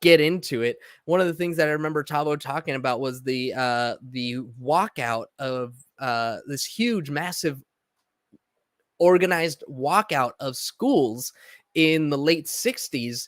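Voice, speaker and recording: In a very clean recording with a silent background and a dry, close sound with no echo, a man with an American accent and a fairly high pitch speaks at a fairly slow pace with ordinary pitch variation. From Southern California (Los Angeles, San Diego). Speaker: podcast host. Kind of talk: personal monologue. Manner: halting, many fillers and repetitions.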